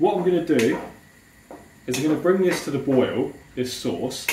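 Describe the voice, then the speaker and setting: Noticeable background noise can be heard. The talking proceeds at a moderate pace. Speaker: fitness vlogger cooking. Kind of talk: cooking tutorial. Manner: casual, chatty.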